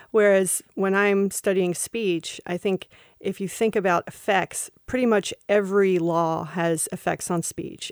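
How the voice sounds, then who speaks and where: In an Appalachian accent, a woman speaks at medium pitch and a fairly slow pace with monotone, flat intonation. The recording is very clean with a silent background and a dry, close sound with no echo. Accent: Appalachian Southern US. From eastern Kentucky. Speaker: law school vice dean, podcast co-host. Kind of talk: casual conversation. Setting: studio.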